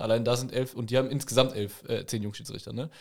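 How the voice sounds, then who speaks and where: An unremarkable speaking voice from a man, medium in pitch, at a fairly quick pace with fairly even intonation. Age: 20s. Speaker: amateur football referee. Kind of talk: casual chat.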